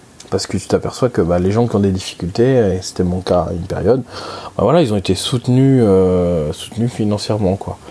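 A man with a fairly low pitch and ordinary pitch variation speaks at a fairly quick pace against noticeable background noise. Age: 20s. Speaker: personal finance podcaster. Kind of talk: solo monologue. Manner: halting, many fillers.

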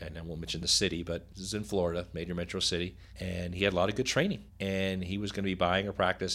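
Very deep and low, a man's voice carries an American accent and fairly even intonation. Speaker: co-host, dental transition advisor. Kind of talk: casual chat. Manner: laid-back.

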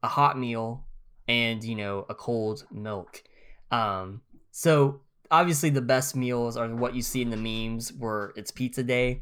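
Speaking at a fairly slow pace on a very clean recording with a silent background, a man with a plain, everyday voice uses a medium pitch and ordinary pitch variation. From US, northeast Oklahoma near Missouri line. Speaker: podcast co-host. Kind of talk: casual chat.

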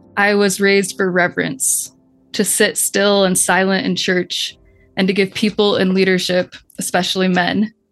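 Music plays behind a woman speaking at a moderate pace and medium pitch, her intonation monotone and flat. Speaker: therapist and author. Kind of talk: reading aloud.

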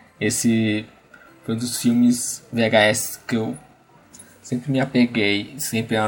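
A man's medium-pitched voice at a fairly slow pace. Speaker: podcast host. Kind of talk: solo nostalgic monologue.

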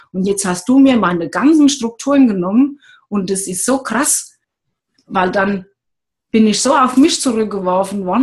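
Somewhat breathy and fairly high-pitched, a woman talks at a moderate pace with lively intonation. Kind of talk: casual chat. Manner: gentle; halting, gets stuck on words.

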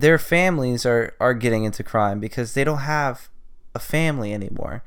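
Captured in a very clean recording with a silent background, a man with a Californian accent speaks at a medium pitch. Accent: Californian American. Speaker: podcast host. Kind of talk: solo monologue, casual journal-style. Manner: rambling, filler-heavy.

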